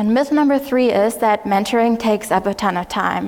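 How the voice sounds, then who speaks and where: This is a woman. She has a German accent. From Germany. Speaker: conference speaker and mentor. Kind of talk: conference talk. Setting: stage with audience. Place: hall.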